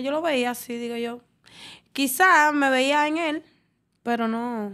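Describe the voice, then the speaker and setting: A woman's high-pitched voice with fairly even intonation against a quiet background. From Dominican Republic. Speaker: dancer; podcast guest. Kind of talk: casual interview. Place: studio. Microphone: studio mic.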